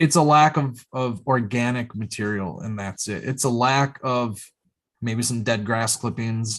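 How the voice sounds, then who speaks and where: This man's voice is medium in pitch, and his intonation stays fairly even. All around him the background is quiet. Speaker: podcast host. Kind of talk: casual chat. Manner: fast.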